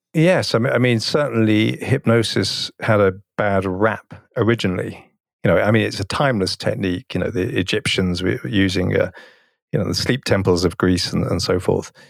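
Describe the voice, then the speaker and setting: A man with an English accent speaks at a moderate pace, using a fairly low pitch and ordinary pitch variation. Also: very clean recording, silent background. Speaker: hypnotherapist and hypnosis teacher. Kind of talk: casual interview conversation. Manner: frequently repeats words, halting.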